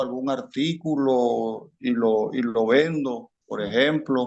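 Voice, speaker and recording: A man's voice at a medium pitch moves along at a very slow pace. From Colombia, rural town. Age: 60s. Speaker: armed conflict victim. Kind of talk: interview.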